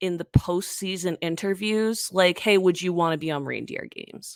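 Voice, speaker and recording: Dry and close with no echo, the recording captures a woman talking. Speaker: podcast host. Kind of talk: casual chat. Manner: fast.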